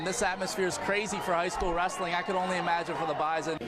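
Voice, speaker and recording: Over crowd noise in the background, a man talks at a very fast pace and a high pitch, his loudness very even and his intonation monotone and flat. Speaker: sports anchor and reporter. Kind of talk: sports package voiceover.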